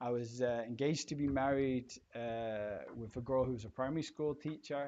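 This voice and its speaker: With a dark, mellow tone, a man speaks at medium pitch and a moderate pace with ordinary pitch variation. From Scotland, partly raised in England. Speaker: entrepreneur. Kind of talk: interview, personal story.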